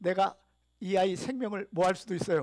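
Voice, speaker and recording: The speaker is a man with a high pitch. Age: 60s. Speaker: pastor. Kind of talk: sermon. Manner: animated.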